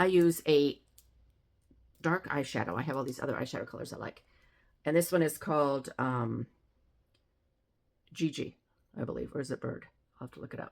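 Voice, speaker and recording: A woman's very deep, low pitch with vocal fry, a fairly quick pace broken by long, frequent pauses, ordinary pitch variation and big swings in loudness. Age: 70s. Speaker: makeup demonstrator. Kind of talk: tutorial. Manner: casual, conversational.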